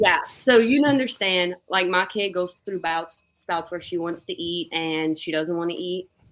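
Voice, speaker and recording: With an American accent, a woman of fairly low pitch talks at a moderate pace with ordinary pitch variation. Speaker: comedian and former teacher. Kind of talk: casual chat.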